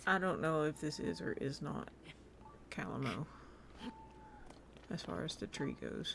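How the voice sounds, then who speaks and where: At a moderate pace, a woman speaks with an American accent. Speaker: video game streamer. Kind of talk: casual live-stream gameplay chat. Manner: animated.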